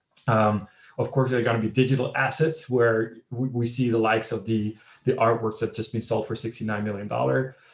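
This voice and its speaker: Somewhat breathy, the man's voice moves at a fairly quick pace. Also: medium pitch for a man. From Netherlands. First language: Dutch. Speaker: fintech startup CEO. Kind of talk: interview.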